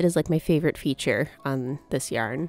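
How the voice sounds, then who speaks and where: There is music in the background while a woman with an American accent speaks. She keeps a moderate pace and lively intonation. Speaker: crochet crafter. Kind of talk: casual crafting voiceover.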